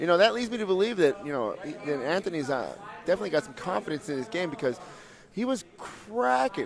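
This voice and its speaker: Amid noticeable background noise, a man talks at a very fast pace with a high pitch and an animated tone. His pitch swings very widely, and his loudness shifts in big swings. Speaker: MMA commentator; fight coach. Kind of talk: live commentary.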